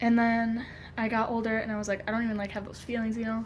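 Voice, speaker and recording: Audible room echo surrounds a woman's somewhat breathy voice, pitched fairly high. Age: 20s. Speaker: vlogger. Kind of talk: personal vlog. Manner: hesitant, many fillers.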